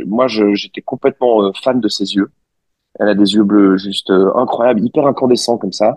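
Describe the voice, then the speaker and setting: Dry and close with no echo, the sound captures a man speaking. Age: 30s. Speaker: interview guest, married father. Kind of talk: casual interview. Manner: halting.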